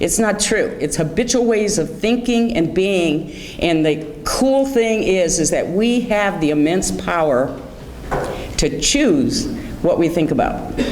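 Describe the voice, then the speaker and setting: A woman's lively intonation amid audible room echo and noticeable background noise. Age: 60s. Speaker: guest speaker on anxiety, author. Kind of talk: motivational talk. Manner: conversational.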